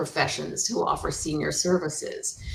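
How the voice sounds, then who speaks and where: A woman's voice at a moderate pace over noticeable background noise. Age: 60s. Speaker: senior move manager. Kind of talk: interview.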